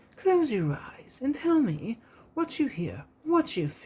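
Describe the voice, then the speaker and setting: This put-on character voice moves at a fairly slow pace. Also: female-sounding voice, high pitch for a woman. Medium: read story. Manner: patient, gently instructive.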